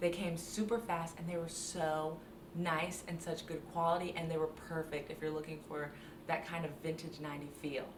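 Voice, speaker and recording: Audible echo fills the room. A woman talks at a moderate pace within it. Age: 20s. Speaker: beauty and fashion content creator. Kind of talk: tutorial. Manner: animated.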